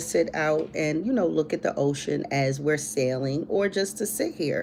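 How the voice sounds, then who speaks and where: A woman with a fairly low voice swings her pitch very widely over noticeable background noise. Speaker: livestream host. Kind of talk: casual livestream chat. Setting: live stream.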